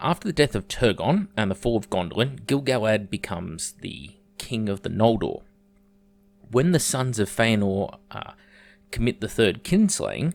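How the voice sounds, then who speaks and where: Lively intonation runs through this Australian accent. The pace is moderate. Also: man, medium pitch for a man. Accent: thick Australian. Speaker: YouTuber, lore explainer. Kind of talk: video essay. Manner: casual, occasional hesitations.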